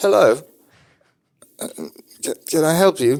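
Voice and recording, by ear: A raspy, put-on character voice at middle pitch and a fairly slow pace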